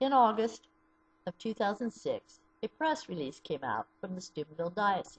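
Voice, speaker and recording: A woman speaks at a moderate pace, somewhat breathy. Her pitch swings very widely. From US Midwest (southeastern Ohio). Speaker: abuse survivor advocate. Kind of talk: personal testimony. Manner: read from a script. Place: home room. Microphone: webcam.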